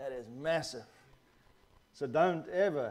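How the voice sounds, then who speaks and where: A man speaks, and room echo can be heard around his voice. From South Africa. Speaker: guest preacher, missionary pastor. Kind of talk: sermon. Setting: church.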